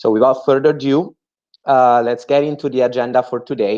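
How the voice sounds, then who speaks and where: Against a quiet background, a man with an Italian accent speaks at a moderate pace in a dark, mellow tone. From Italy. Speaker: entrepreneur and MBA student. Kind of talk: webinar presentation. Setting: video call webinar. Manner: hesitant, with many fillers.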